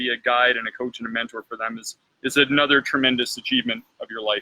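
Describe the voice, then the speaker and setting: This is an unremarkable speaking voice from a man. He talks at a fairly quick pace with ordinary pitch variation. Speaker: exercise therapist. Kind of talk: interview host questions.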